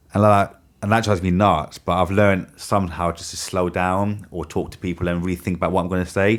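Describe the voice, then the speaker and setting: A man mumbles at a very fast pace. His very deep, low voice is monotone with flat intonation. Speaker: podcast host interviewing students. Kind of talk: casual supportive chat. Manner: fast, mumbling.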